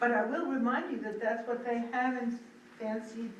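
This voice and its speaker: The intonation stays fairly even. There is noticeable background noise and audible room echo. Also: woman. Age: 70s. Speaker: select board member. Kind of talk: public meeting discussion.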